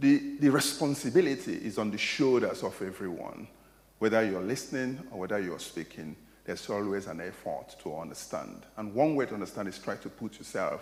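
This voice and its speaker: Audible room echo surrounds a man speaking at a moderate pace, his loudness swinging widely. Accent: Nigerian. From Nigeria. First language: Igbo. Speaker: academic lecturer. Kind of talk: lecture Q&A answer. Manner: hesitant, repeating words.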